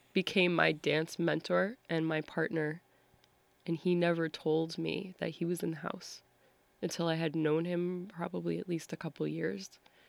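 Speaking with an American accent, a woman has a plain, everyday voice, fairly low in pitch, with fairly even intonation at a moderate pace. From Massachusetts, US. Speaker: dancer and performer. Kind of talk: interview conversation.

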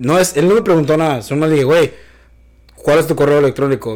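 A man talks at a fairly quick pace. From Michoacán, Mexico. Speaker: podcast host. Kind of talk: casual chat.

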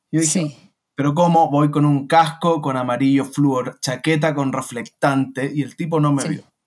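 The intonation is monotone and flat, and the pace is moderate. There are hardly any pauses. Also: man, fairly high pitch for a man. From Chile. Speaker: online seller. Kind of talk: interview.

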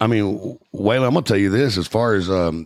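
Talking at a fairly quick pace, a man keeps his pitch fairly low. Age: 40s. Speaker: podcast host. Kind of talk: casual chat.

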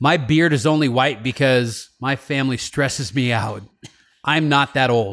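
A man's ordinary speaking voice at a medium pitch, fairly slow, with ordinary pitch variation and very even loudness. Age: 40s. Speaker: podcast host and radio talk host. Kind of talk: casual chat.

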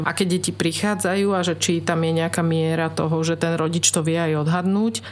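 Noticeable background noise accompanies a woman whose voice sits at a fairly low pitch. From Slovakia, Trnava. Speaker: children's choir director. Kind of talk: radio interview. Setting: radio studio.

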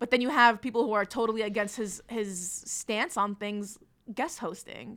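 A woman with an American accent has a plain, everyday voice, fairly high in pitch with ordinary pitch variation. She speaks at a moderate pace on a very clean recording with a silent background. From New Jersey, North Bergen. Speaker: comedian and activist. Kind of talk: casual chat.

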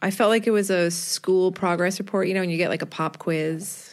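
Her pitch varying in an ordinary way, a woman speaks in an unremarkable speaking voice on a very clean recording with a silent background. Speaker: podcast co-host, interviewer. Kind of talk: casual interview chat.

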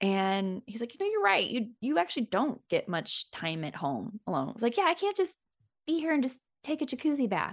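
A woman with an American accent, fairly high-pitched with vocal fry, in an animated tone with very wide pitch swings and a fairly quick pace, in a dry, close sound with no echo against a quiet background. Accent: slight rural US accent when relaxed. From US Midwest, Kansas City. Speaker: sex coach and podcast host. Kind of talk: casual conversation. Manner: animated, laughs often.

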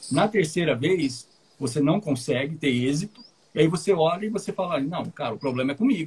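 A fairly high-pitched man at a fairly quick pace, with an ordinary speaking voice. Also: lively intonation. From Paraná, Brazil. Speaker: English teacher and podcast host. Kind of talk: casual chat.

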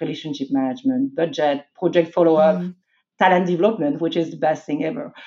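A woman talks in a French accent. Her pitch sits fairly low. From France. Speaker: IT executive. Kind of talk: interview.

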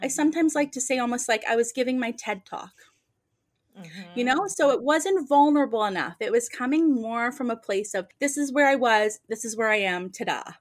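Her voice is high for a woman, with lively intonation. She speaks at a fairly quick pace in a very clean recording with a silent background. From Nova Scotia, Canada. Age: 40s. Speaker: medium and author. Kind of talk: casual interview chat.

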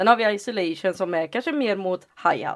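A woman speaks in a normal speaking voice at medium pitch and a moderate pace, with ordinary pitch variation, on a very clean recording with a silent background. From Sweden, Lidköping. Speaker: hip-hop dancer and teacher. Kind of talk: casual chat.

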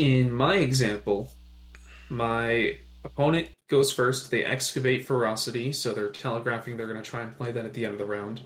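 With a slightly breathy voice, a man talks, his pitch rising and falling in a normal way. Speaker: podcast co-host. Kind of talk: casual chat. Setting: remote recording.

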